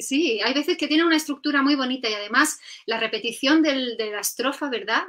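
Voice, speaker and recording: Against a quiet background, the speaker goes at a fairly quick pace with ordinary pitch variation. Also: woman. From Catalonia, Spain. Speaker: poetry video host; interview host. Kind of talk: casual interview chat. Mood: warm, appreciative. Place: home room.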